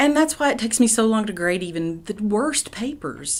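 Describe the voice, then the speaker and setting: This is a woman's voice. She speaks with an Appalachian accent. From East Tennessee, Appalachia. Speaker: poet and professor. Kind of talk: interview answer.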